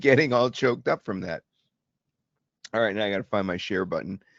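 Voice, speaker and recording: A man with an American accent, fairly low pitch and ordinary pitch variation. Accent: slight New York and Boston. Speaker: presenter demonstrating AI video software.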